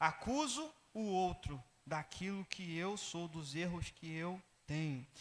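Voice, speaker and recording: Here a man talks with a high pitch. His pace is fairly slow and his intonation is lively. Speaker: pastor. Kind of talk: sermon.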